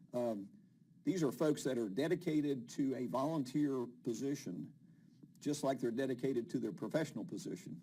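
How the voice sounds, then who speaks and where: In a West Virginia accent, a man talks at a moderate pace with a dark, mellow tone, medium pitch and ordinary pitch variation. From West Virginia, Huntington. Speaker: TV show host. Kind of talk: interview.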